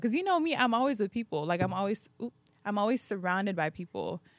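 Her tone animated and her intonation lively, a woman speaks with an American accent in a dry, close sound with no echo on a very clean recording with a silent background. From San Diego, US. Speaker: podcast host and creator. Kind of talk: casual chat.

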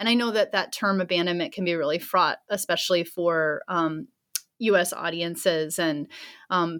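This woman has a plain, everyday voice, fairly low in pitch, with fairly even intonation at a moderate pace. The recording is very clean, with a silent background. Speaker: anthropologist and author. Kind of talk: interview answers.

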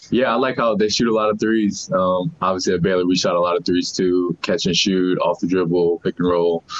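Speaking fairly quickly with hardly any pauses, a man with a very deep, low pitch keeps his loudness very even and his intonation fairly even over noticeable background noise. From New Orleans. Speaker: pro basketball rookie. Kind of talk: press conference.

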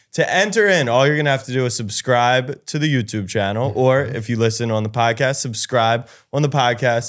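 A man with a plain, everyday voice speaks at medium pitch and a fairly quick pace, with hardly any pauses. His pitch variation is ordinary, and the recording is very clean with a silent background. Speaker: podcast co-host. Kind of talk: casual podcast chat.

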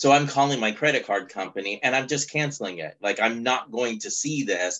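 A man speaks at a moderate pace in a plain, everyday voice. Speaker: podcast co-host. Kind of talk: casual chat.

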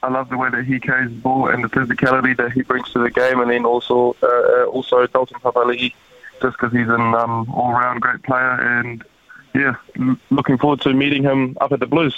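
A man's medium-pitched, monotone voice at a fairly quick pace, with noticeable background noise. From Germany (Frankfurt). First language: German. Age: 20s. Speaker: rugby player. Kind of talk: interview. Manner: hesitant with fillers.

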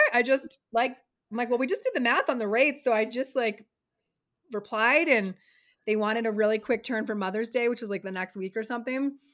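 On a very clean recording with a silent background, a woman with an ordinary speaking voice talks fairly quickly at a fairly high pitch, with ordinary pitch variation. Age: 40s. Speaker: talent manager. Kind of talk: casual chat.

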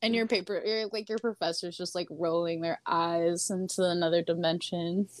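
Using a plain, everyday voice, a woman speaks at a moderate pace with a fairly low pitch and fairly even intonation. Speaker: author and artist. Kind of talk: casual chat. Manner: rambling, filler-heavy.

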